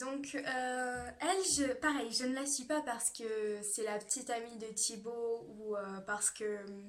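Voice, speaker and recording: Her delivery is very slow. A woman talks with a fairly high pitch that varies in an ordinary way. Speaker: beauty youtuber. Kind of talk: casual vlog talk. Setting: at home. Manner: hesitant, many fillers; speaks louder than usual.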